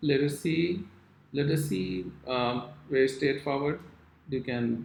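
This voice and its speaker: His pitch sits in the middle range and rises and falls in a normal way. This male voice carries some breathiness. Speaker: calligraphy teacher. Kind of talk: tutorial.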